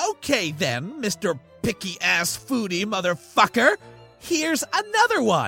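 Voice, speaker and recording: Faint music plays in the background as a man puts on a character voice. He speaks at a high pitch and a moderate pace. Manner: angry, sarcastic.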